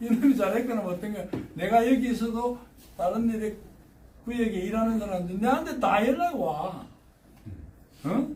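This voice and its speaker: A man's high-pitched, animated voice in a strong Gyeongsang accent, at a moderate pace, with audible room echo. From Gyeongsang Province, South Korea. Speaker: retiree turned railway signal technician. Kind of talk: casual talk giving career advice. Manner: colloquial, animated.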